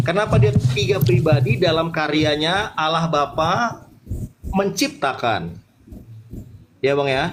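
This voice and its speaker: A man at a fairly high pitch, very slow, with ordinary pitch variation, long, frequent pauses and noticeable background noise. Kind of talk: religious debate.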